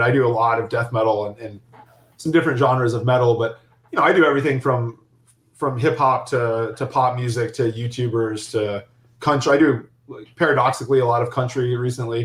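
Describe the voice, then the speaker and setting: Somewhat breathy, a man with an American accent speaks at medium pitch and a fairly quick pace. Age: 30s. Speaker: philosophy professor and club promoter. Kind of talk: interview. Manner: halting with frequent repetitions.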